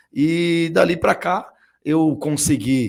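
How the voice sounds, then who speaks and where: The recording is very clean with a silent background as a man speaks with ordinary pitch variation. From Guarulhos, São Paulo, Brazil. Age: 40s. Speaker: city councillor and former swimmer. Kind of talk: podcast interview.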